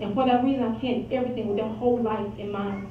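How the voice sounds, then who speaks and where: A woman's fairly high voice at a very fast pace, with audible room echo and noticeable background noise. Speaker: high school teacher. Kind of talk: award acceptance speech.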